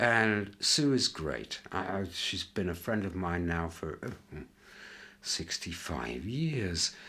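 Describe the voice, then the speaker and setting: On a very clean recording with a silent background, a man with a very deep, low pitch and vocal fry sounds bright and sharp, speaking at a very slow pace with very wide pitch swings. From northern England, York. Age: 60s. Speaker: interviewee sharing life memories. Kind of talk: reflective interview. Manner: hesitant, with many fillers.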